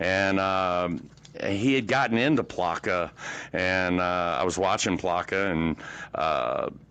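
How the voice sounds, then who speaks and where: This man has a very deep, low pitch, a bright, sharp tone and an American accent. He talks very slowly with very even loudness and ordinary pitch variation. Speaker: sim racing guest. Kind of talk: casual chat.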